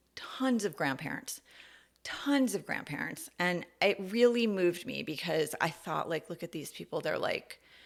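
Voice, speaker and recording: An ordinary speaking voice from a woman with a fairly low pitch, at a moderate pace, with an American accent. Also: lively intonation. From US Northeast, New York City. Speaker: podcast host. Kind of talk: personal monologue podcast. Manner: casual, conversational with fillers.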